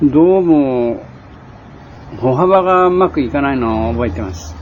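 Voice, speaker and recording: This man talks at a fairly slow pace. His medium-pitched voice moves through very wide pitch swings. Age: 60s. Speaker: war veteran, former Siberian internee. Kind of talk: casual spoken reminiscence. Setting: home or shop recording on cassette tape. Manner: sometimes sleepy, sometimes cheerful.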